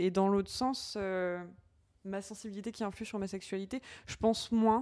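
A woman with a normal speaking voice, medium pitch, fairly even intonation and a fairly slow pace. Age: 20s. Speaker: nursing assistant and podcaster. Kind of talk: casual chat.

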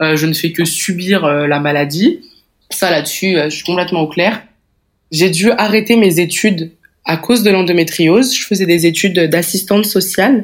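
A woman with a normal speaking voice talks at a moderate pace and a fairly low pitch, with ordinary pitch variation. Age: 20s. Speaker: woman living with endometriosis. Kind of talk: personal testimony.

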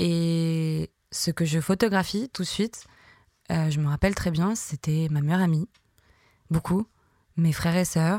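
The woman speaks at a fairly slow pace with long, frequent pauses, a fairly low pitch, fairly even intonation and very even loudness. The sound is dry and close with no echo, on a very clean recording with a silent background. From southern France, near Marseille. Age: 30s. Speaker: photographer. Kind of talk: interview monologue, personal storytelling. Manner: hesitant, many fillers.

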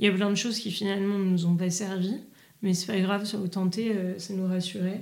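Audible room echo surrounds a woman speaking at a fairly quick pace. Her medium-pitched voice stays monotone and flat. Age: 30s. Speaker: restaurant entrepreneur. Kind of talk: casual interview.

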